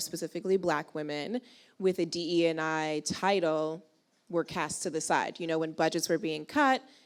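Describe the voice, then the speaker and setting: Very cleanly recorded with a silent background, a woman speaks at a moderate pace in a fairly low pitch. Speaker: panel moderator. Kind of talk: live panel interview. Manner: animated; loud.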